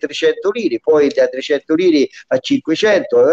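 A man speaks in a dark, mellow tone with ordinary pitch variation. The sound is dry and close, without echo. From central Italy, Lubriano (Viterbo). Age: 70s. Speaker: dialect poet. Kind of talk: reminiscing interview.

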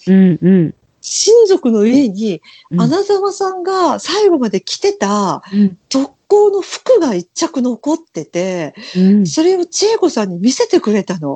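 Heard dry and close with no echo, the voice has a dark, mellow tone, very wide pitch swings and a fairly slow pace. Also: woman, high pitch for a woman. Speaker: podcast co-host. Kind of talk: casual chat.

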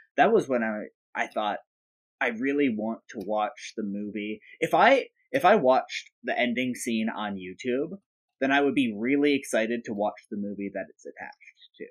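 Speaking at a moderate pace, a man has an ordinary speaking voice, medium in pitch with ordinary pitch variation and big swings in loudness. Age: young. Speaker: movie podcast co-host. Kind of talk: casual chat. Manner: jokey, does comic impressions.

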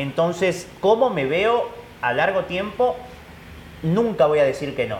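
There is audible room echo and noticeable background noise as a man speaks at a fairly slow pace with lively intonation. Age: 30s. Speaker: football commentator. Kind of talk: casual chat. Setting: coffee shop.

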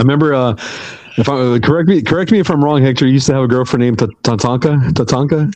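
With an American accent, a man talks at a very fast pace in a medium pitch, keeping very even loudness and ordinary pitch variation. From Texas. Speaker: podcast host. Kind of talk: casual chat.

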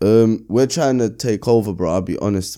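A man speaks with a London accent in a dark, mellow tone and fairly even intonation. The recording is very clean, with a silent background. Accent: London multicultural English. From London (Brixton). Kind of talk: casual interview chat.

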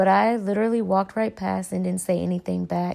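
With an American accent, a woman talks at a fairly quick pace on a very clean recording with a silent background. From North Carolina, US South. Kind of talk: personal reflection monologue.

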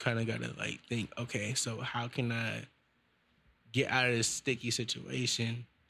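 A man speaks with vocal fry and an American accent. His intonation is monotone and flat. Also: medium pitch for a man, moderate pace. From US West Coast, Vallejo, Bay Area California. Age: 20s. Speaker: musician. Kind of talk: casual interview. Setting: studio.

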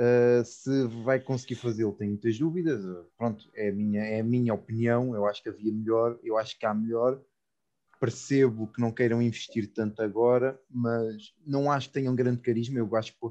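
Speaking at a moderate pace, a man with a medium pitch uses a dark, mellow tone and monotone, flat intonation. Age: 20s. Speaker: guest, childhood friend of host. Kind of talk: casual chat.

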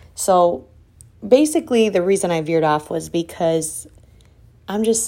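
A woman's dark, mellow tone, fairly low in pitch, at a moderate pace with ordinary pitch variation, on a very clean recording with a silent background. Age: 30s. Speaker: podcast host and salon owner. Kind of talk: solo motivational monologue. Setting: home office. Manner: casual and conversational.

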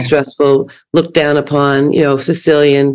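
At a fairly quick pace, a woman speaks with a very deep, low pitch. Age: 70s. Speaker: podcast host. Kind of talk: casual chat. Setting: video call.

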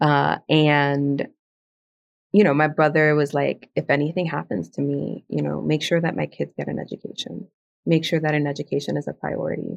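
Moderate pace with a Spanish accent. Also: woman. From South Bronx, New York. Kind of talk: casual conversational interview.

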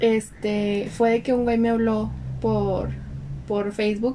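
A woman speaks with a Mexican accent. Noticeable background noise is present. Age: 20s. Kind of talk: casual chat.

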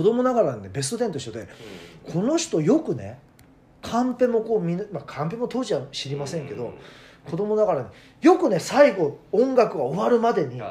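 A man's high pitch with very wide pitch swings, big swings in loudness and a fairly quick pace. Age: 40s. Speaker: radio personality. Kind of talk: casual chat.

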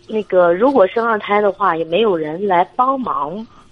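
The speech has lively intonation over noticeable background noise. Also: woman. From Shandong. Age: 30s. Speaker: military wife, caller. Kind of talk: phone-in consultation. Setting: phone call. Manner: hesitant.

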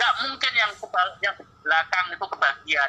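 A man's raised, projected voice with lively intonation. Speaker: Islamic cleric and educator. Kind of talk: casual chat. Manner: loud.

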